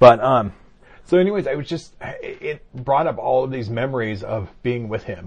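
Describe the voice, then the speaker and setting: This voice moves at a moderate pace and is somewhat breathy. Its loudness swings widely. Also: man, medium pitch for a man, lively intonation. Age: 50s. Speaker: podcast co-host. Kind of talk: casual chat.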